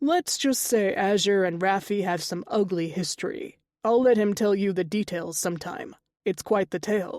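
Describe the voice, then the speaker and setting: Doing a raspy put-on character voice at a medium pitch, a woman speaks at a moderate pace in a very clean recording with a silent background. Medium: read story. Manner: playful.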